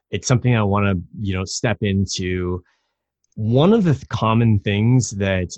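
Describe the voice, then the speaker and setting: A man in an enthusiastic tone at a fairly slow pace, with ordinary pitch variation and a quiet background. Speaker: online community founder. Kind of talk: interview. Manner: articulate.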